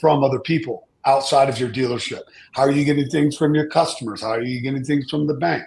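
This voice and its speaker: A man talks fairly quickly in a somewhat breathy, fairly high voice with ordinary pitch variation. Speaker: data security compliance expert. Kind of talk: panel discussion. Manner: halting, repeats words.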